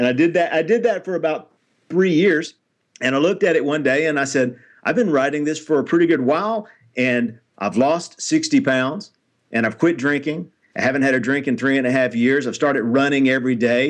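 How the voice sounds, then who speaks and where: With a Tennessee accent, a man talks at a fairly quick pace. His pitch is fairly high, with ordinary pitch variation. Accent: Tennessee Southern American. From Nashville, Tennessee (US South). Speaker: author and motivational speaker. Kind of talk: interview.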